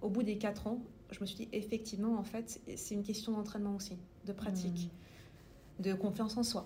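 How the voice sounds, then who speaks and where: A woman at a fairly quick pace, monotone and flat, with long, frequent pauses, audible room echo and noticeable background noise. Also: medium pitch for a woman. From France (Paris) with childhood in the US. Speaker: tech sales manager. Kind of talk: interview. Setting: company office.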